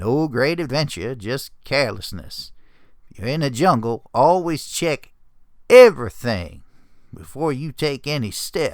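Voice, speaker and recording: A gruff, put-on character voice from a man, medium pitch, moderate pace, in a very clean recording with a silent background. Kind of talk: dramatic story reading.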